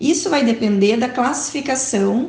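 Noticeable background noise sits behind a woman's fairly high voice. She keeps a moderate pace with ordinary pitch variation. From southern Brazil, Porto Alegre. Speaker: physiotherapist and researcher. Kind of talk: lecture.

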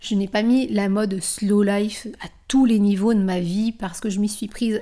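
A woman with an unremarkable speaking voice talks at a fairly slow pace and medium pitch on a very clean recording with a silent background. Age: 40s. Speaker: wellness coach and yoga teacher. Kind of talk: solo podcast monologue.

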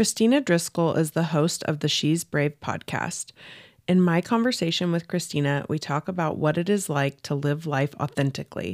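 A woman's plain, everyday voice, fairly low in pitch, with ordinary pitch variation, a moderate pace, and a dry, close sound without echo. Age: 30s. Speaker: podcast host. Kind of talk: scripted narration; casual chat.

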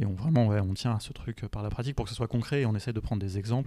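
On a very clean recording with a silent background, a man talks at a very fast pace with a fairly low pitch and a dark, mellow tone. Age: 30s. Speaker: tech entrepreneur and podcast host. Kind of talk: casual interview. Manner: hesitant, many fillers.

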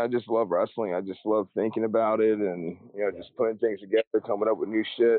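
A man with an unremarkable speaking voice talks at a fairly quick pace. His pitch is medium, with fairly even intonation. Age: 30s. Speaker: professional wrestler. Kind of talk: casual interview chat. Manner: casual, profane.

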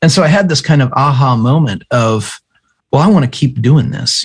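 A man with an American accent, somewhat breathy, at a fairly quick pace. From US, small farming town. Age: 40s. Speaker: pastor and author. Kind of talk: interview conversation. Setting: remote call.

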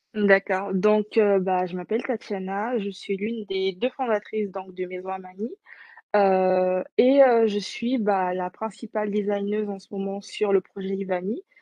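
Fairly slow and fairly even in intonation, a woman speaks at a medium pitch. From French Guiana. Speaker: entrepreneur, co-founder of a virtual influencer brand. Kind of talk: interview. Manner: halting, many fillers.

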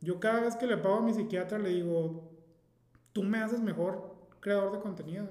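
Room echo is audible as a man speaks at a moderate pace. His pitch is high and his intonation fairly even. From Mexico, Mazatlán (Sinaloa). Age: 30s. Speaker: travel blogger. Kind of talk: casual chat.

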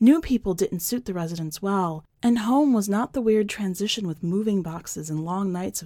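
Ordinary pitch variation within an unforced reading voice

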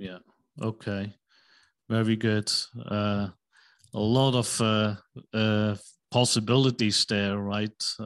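A man speaks at a very slow pace in a fairly low pitch, with a monotone, flat intonation. Long, frequent pauses break up his words against a quiet background. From Switzerland. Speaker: podcast host and finance company CEO. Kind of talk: interview. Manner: halting, many fillers.

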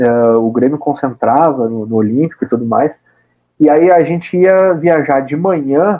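Lively in intonation, a man speaks in a fairly high pitch at a fairly slow pace. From Brazil, Rio Grande do Sul (Caxias do Sul). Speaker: football radio commentator and club press officer. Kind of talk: casual interview. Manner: animated.

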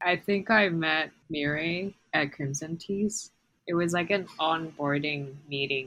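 A woman with a fairly low pitch speaks at a very slow pace, her pitch varying in an ordinary way. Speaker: university student and podcast co-host. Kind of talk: casual chat. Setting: remote call across time zones.

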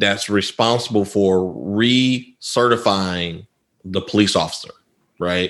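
The man talks at a very slow pace. His voice is fairly low, with ordinary pitch variation.

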